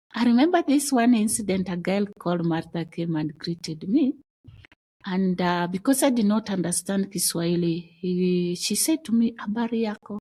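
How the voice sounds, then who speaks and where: Her voice is somewhat breathy and dark and mellow, as a woman speaks at a moderate pace in a medium pitch with lively intonation. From Kenya, Luo community. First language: Dholuo (Kijaluo). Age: adult mother. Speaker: podcast guest sharing life story. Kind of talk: personal testimony interview. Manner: halting, with restarts.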